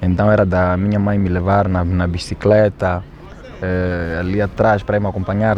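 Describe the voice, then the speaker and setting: A man with a Mozambican accent and a very deep, low pitch, talking at a moderate pace with monotone, flat intonation amid noticeable background noise. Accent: Quilimane (Zambézia) Mozambican Portuguese. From Mozambique, Quilimane (Zambézia). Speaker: rapper. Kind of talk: documentary interview.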